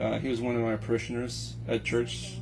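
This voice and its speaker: Music in the background and audible room echo surround a man speaking in a Texan accent. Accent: Texan American English. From Texas, Houston. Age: 30s. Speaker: Navy veteran. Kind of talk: casual chat. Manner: halting.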